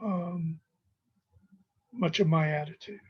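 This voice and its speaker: A woman is speaking. Her pitch is fairly low. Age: 60s. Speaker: professor. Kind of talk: lecture. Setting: recorded video lecture with screen share. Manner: halting.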